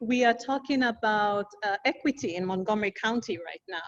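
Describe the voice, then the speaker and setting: With an African accent, a woman speaks at a fairly slow pace, her fairly high pitch moving with ordinary variation. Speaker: community activist. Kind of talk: panel discussion. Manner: animated.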